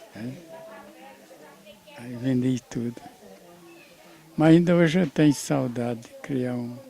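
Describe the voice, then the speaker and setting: A man's medium-pitched voice at a very slow pace, with ordinary pitch variation and long, frequent pauses. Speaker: family patriarch, grandfather. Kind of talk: interview answer. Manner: hesitant, halting.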